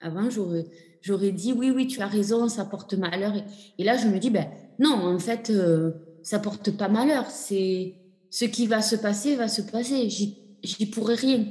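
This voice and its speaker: The voice has a dark, mellow tone, somewhat breathy, moving at a fairly slow pace. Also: woman, fairly high pitch for a woman, ordinary pitch variation. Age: 40s. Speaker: patient sharing her fertility journey. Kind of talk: testimony. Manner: halting.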